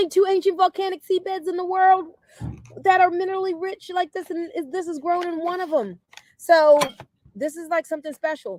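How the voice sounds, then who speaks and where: A woman with an extremely high pitch speaks at a fairly quick pace in an animated tone, with big swings in loudness. The sound is dry and close, with no echo. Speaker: wellness product seller. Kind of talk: sales pitch. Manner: fast.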